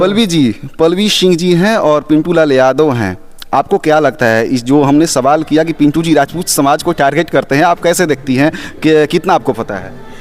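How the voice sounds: A man talks with ordinary pitch variation and keeps a moderate pace. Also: fairly high pitch for a man.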